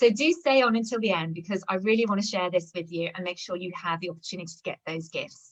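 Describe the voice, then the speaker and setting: A woman with a British accent at a very fast pace, with ordinary pitch variation. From London, England. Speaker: communication and culture coach. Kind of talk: webinar presentation. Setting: live video webinar.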